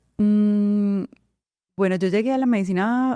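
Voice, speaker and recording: Recorded with a dry, close sound and no echo, a woman speaks in a dark, mellow tone at a medium pitch with ordinary pitch variation. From Colombia, Medellín. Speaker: veterinarian. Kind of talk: interview.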